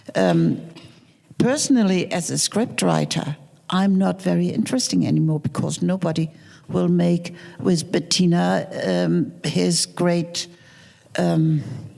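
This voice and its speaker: A woman at a fairly slow pace, her loudness very even, over noticeable background noise. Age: 70s. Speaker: film producer and screenwriter. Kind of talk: panel discussion. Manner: halting.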